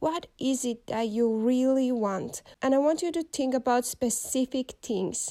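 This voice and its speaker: In a very clean recording with a silent background, a woman with a Finnish accent speaks fairly slowly in a high pitch, her tone dark and mellow and her pitch varying in an ordinary way. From Finland. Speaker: podcast host. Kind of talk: motivational monologue.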